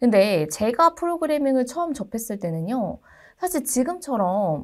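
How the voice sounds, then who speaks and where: On a very clean recording with a silent background, a woman with a high pitch speaks at a moderate pace, her pitch swinging very widely. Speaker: university lecturer. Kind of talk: lecture.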